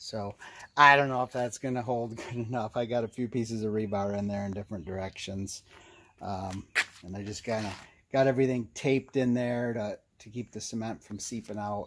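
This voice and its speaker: Speaking at a moderate pace, a man has a normal speaking voice, fairly low in pitch, with fairly even intonation. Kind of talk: tutorial. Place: street. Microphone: phone near.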